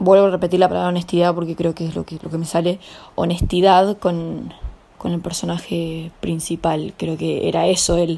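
A woman speaks with a Rioplatense accent in a fairly low, dark, mellow voice. Her intonation is monotone and flat. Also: moderate pace. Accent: Argentine Spanish (rioplatense). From Argentina. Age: 20s. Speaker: young novelist and actress. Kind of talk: interview. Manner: hesitant, with repetitions.

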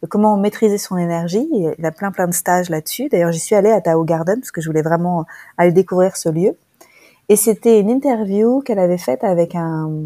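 Her voice is medium in pitch with a dark, mellow tone and ordinary pitch variation, delivered at a fairly quick pace. The woman's recording is very clean with a silent background and a dry, close sound with no echo. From France. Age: 40s. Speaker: relationship coach. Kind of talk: interview.

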